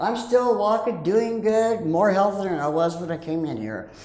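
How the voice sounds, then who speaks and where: Speaking at a moderate pace with very wide pitch swings, a woman is heard amid noticeable background noise and audible room echo. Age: 60s. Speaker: rescue mission resident. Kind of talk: testimony.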